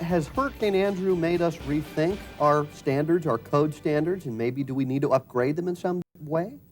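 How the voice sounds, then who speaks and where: Music plays in the background as a man speaks with an American accent. His fairly high pitch shows ordinary variation at a moderate pace. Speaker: TV news anchor and host. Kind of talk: talk show interview question.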